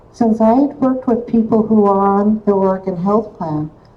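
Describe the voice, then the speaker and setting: A woman's dark, mellow and somewhat breathy tone. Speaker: activist and organizer, former mental health therapist. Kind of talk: rally speech. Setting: rally.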